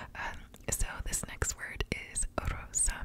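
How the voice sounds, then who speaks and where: A woman speaks here. She is whispering. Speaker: ASMR creator. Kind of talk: soft ASMR word repetition and explanation. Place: home room. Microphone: studio mic.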